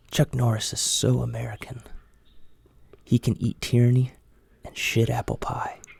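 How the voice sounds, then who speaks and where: Long, frequent pauses break up the speech, heard over noticeable background noise. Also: moderate pace. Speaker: ASMR content creator. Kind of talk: ASMR joke reading, whispered. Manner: whispered.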